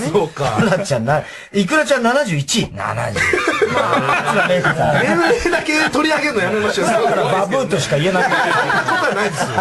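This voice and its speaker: Amid loud background noise, a man with a high pitch speaks at a fairly quick pace, his pitch swinging very widely. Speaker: radio show host, comedian. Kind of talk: radio talk show banter. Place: studio.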